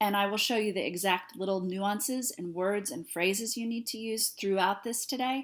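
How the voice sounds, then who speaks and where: The speech has hardly any pauses and ordinary pitch variation on a very clean recording with a silent background. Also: woman, medium pitch for a woman. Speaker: sales coach. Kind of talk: tutorial. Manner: fast; animated.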